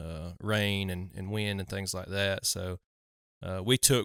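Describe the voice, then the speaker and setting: With a Southern US accent, a man with a fairly low pitch and a bright, sharp tone talks at a moderate pace. The sound is dry and close with no echo, in a very clean recording with a silent background. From US South. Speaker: hunting podcast host. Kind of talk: casual chat.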